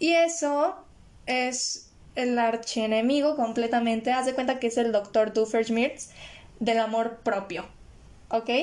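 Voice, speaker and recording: Her voice fairly high, a woman speaks at a very slow pace with long, frequent pauses. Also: ordinary pitch variation. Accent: Mexican. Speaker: podcast host. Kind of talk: casual solo monologue on mental health. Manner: occasionally stumbles over words.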